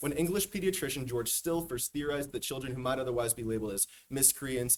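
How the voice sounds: A natural reading voice with the usual ups and downs in pitch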